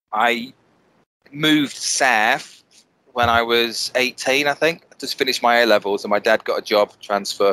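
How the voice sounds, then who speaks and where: A man talks at a fairly slow pace in a medium-pitched voice with a bright, sharp tone and ordinary pitch variation. The sound is dry and close, with no echo. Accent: northern English. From northern England, Bolton. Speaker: wedding photographer. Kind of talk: casual interview chat. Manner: hesitant, many repetitions.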